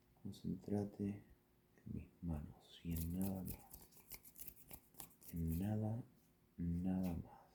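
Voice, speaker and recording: Very slow, with long, frequent pauses, a man speaks in a very deep, low pitch, his dark, mellow tone soothing and somewhat breathy, his intonation fairly even. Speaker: ASMR creator. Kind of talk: improvised ASMR bedtime story. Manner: slow, soothing, relaxing.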